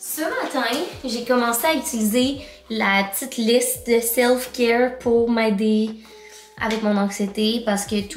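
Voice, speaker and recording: With audible room echo and light background noise, a woman speaks at a fairly slow pace with ordinary pitch variation. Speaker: vlogger. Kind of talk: casual vlog chat. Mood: chatty, opens up personally. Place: home room. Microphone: phone near.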